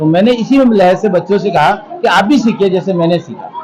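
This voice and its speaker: Crowd noise fills the background as a man speaks at a high pitch. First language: Urdu (speaking Hindi). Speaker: English professor. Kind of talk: event interview.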